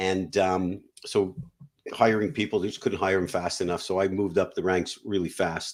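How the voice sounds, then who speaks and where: On a very clean recording with a silent background, a man with a Canadian accent talks at a fairly quick pace in a very deep, low voice with fairly even intonation. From Canada. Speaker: business buyer and M&A advisor. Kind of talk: interview.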